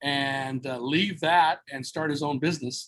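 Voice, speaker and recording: With an American accent, a man speaks fairly slowly at a fairly high pitch, his intonation fairly even. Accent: loud American-style. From Southern California, Mexican-American family. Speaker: entrepreneur, former radio worker. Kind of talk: podcast interview. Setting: video call. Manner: loud.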